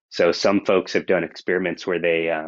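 A man's very deep, low pitch, monotone with flat intonation, at a moderate pace with an American accent. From California. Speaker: research scientist. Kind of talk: interview.

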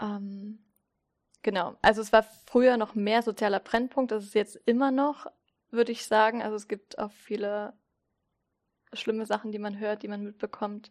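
A woman with a fairly high pitch talks at a moderate pace in a monotone, flat way, with long, frequent pauses and big swings in loudness. Her voice is recorded dry and close, with no echo. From Saxony, Zittau (eastern Germany). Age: 30s. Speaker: church community educator. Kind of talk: interview. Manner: casual, with frequent fillers.

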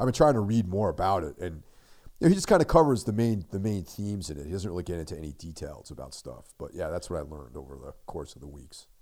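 Speaking at a very fast pace, a man with a very deep, low pitch shows lively intonation, big swings in loudness and vocal fry, on a very clean recording with a silent background. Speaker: horror podcast co-host. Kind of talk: casual chat. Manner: low energy.

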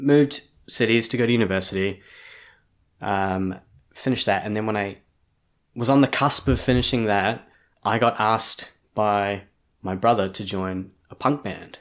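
With a New Zealand accent, a man talks at a moderate pace and a fairly low pitch, with fairly even intonation and long, frequent pauses. The recording is very clean, with a silent background. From New Zealand, Hamilton. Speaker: artist and designer. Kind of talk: interview conversation.

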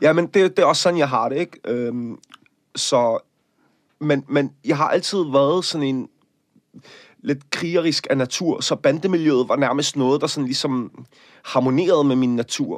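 Recorded very cleanly against a silent background with a dry, close sound and no echo, a man speaks at a fairly high pitch and fairly slow pace, with ordinary pitch variation and long, frequent pauses. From Denmark, Copenhagen area. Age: 30s. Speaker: actor and activist. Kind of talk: interview.

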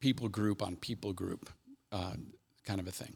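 Somewhat breathy, a man with an American accent talks in a fairly low pitch with ordinary pitch variation. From US Midwest, Cincinnati, Ohio. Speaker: army chaplain. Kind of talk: casual interview, personal testimony.

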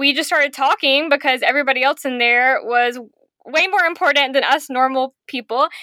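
A woman's high-pitched, raised and projected voice with an American accent, at a moderate pace with ordinary pitch variation, in a dry, close sound with no echo. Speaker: podcast guest. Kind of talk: casual chat. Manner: animated.

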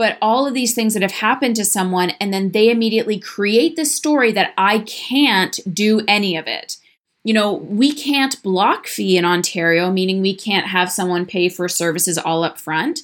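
An unremarkable speaking voice moves at a moderate pace with lively intonation and hardly any pauses, on a very clean recording with a silent background. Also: woman, medium pitch for a woman. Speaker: podcast host, practitioner business coach. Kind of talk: solo monologue podcast episode. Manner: conversational, candid.

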